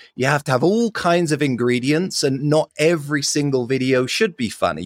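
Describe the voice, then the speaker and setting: On a very clean recording with a silent background and a dry, close sound with no echo, a man with a London accent speaks at a moderate pace, his fairly high pitch moving in lively intonation. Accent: British, London-raised. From London, England. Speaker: marketing agency founder. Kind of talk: casual interview.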